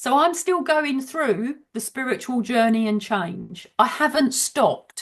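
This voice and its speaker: The speaker has a Birmingham accent. The delivery is fairly slow with lively intonation. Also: woman. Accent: Brummie. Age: 60s. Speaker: author and business mentor. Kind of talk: casual chat. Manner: direct.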